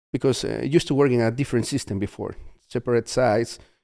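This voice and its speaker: Very fast speech comes from a man with a Spanish accent and a dark, mellow tone. The very clean recording has a silent background and a dry, close sound with no echo. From Peru. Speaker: mission trip volunteer leader. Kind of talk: podcast interview. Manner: halting.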